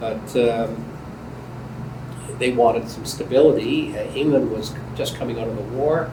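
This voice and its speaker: A man with a Canadian accent is heard amid noticeable background noise and audible room echo. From Canada. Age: 80s+. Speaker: immigrant interviewee. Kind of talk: oral history interview. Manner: halting.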